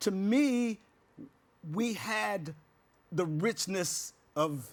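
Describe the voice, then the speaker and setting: With an American accent, a man speaks at a high pitch and with lively intonation. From West Virginia, US. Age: 70s. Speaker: house music artist. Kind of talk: casual interview. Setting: studio. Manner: halting, many fillers.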